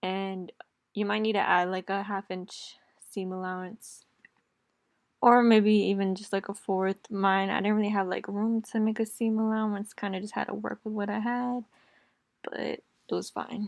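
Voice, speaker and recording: A woman at a medium pitch, monotone and flat, at a moderate pace with long, frequent pauses, over a quiet background. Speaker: DIY sewing YouTuber. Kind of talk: tutorial. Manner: casual, chatty.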